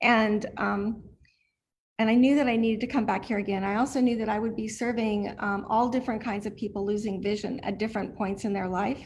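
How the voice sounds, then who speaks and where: Talking at a fairly quick pace, a woman with a fairly high, somewhat breathy voice keeps a monotone, flat intonation. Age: 50s. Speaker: blind student, client of a training center. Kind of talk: testimony. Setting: video call.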